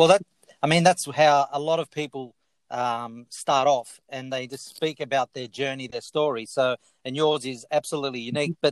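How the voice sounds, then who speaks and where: In an Australian accent, a fairly high-pitched man talks at a moderate pace with fairly even intonation, the sound dry and close with no echo. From Italy, raised in Australia. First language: Italian. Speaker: podcast host. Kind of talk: interview. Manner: talkative.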